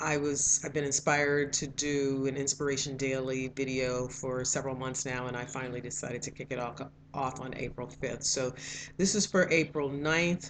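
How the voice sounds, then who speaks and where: With fairly even intonation, a woman talks in a very deep, low voice. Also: moderate pace. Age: 60s. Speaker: video blogger sharing daily inspiration. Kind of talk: personal reflective monologue. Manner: halting, with fillers and self-corrections.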